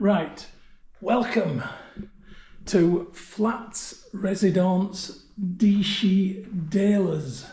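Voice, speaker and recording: In a Yorkshire accent, the voice has a dark, mellow tone and ordinary pitch variation, moving at a very slow pace with long, frequent pauses and audible room echo. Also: man, high pitch for a man. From Yorkshire, northern England. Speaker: travel vlogger. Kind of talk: tutorial. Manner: casual.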